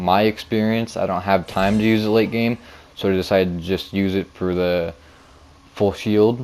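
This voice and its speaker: Background noise is noticeable as a man speaks at a moderate pace. His fairly low voice has monotone, flat intonation. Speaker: beginner gaming YouTuber. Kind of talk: video game commentary.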